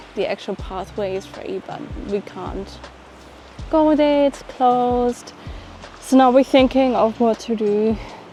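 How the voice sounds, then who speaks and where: Fairly slow delivery with long, frequent pauses, ordinary pitch variation, big jumps in loudness, and music in the background. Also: woman, high pitch for a woman. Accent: German. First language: German. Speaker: travel vlogger. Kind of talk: travel vlog. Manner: casual.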